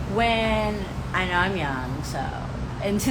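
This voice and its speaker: An animated woman talks in a New York accent. The room echo is audible and background noise is noticeable. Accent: New York City. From New York City, Harlem. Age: young. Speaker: college student and activist. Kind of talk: casual interview.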